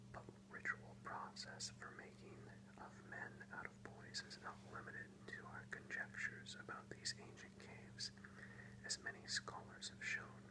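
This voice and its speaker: A moderately paced whisper against noticeable background noise. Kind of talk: ASMR soft-spoken book reading. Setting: close-mic ASMR recording with page-turning sounds. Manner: soft-spoken, whispered.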